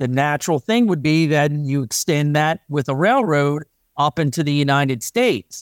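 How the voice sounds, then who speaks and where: An unremarkable speaking voice with an American accent moves at a moderate pace. The recording is very clean and dry, close with no echo, over a silent background. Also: man. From US Mid-Atlantic, northeastern Maryland. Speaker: meteorologist and railroad buff. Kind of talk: interview.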